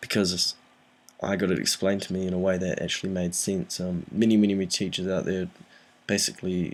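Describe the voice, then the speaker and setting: Soft-spoken, a man with a very deep, low pitch talks at a fairly quick pace. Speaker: physics tutor. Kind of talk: tutorial. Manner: soft-spoken, talking quietly; hesitant, frequent ums.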